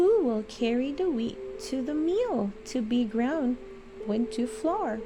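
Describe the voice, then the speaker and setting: A woman uses a put-on character voice with a high pitch, speaking fairly slowly. Clear background noise is present. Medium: read story. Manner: determined, self-reliant.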